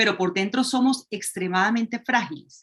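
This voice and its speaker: At a moderate pace, a woman speaks with ordinary pitch variation and a somewhat breathy voice. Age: 50s. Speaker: astrology program guest. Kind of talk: casual interview. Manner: halting, with repetitions.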